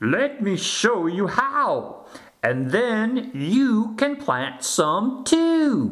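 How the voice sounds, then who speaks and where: Using a put-on character voice, a man speaks very slowly at an extremely high pitch, with very wide pitch swings and audible echo. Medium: read story. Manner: gentle, patient.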